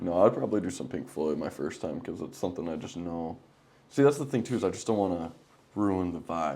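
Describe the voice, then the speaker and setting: Talking at a fairly quick pace, a man uses a very deep, low pitch and a dark, mellow tone with vocal fry and lively intonation. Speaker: podcast host. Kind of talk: casual chat.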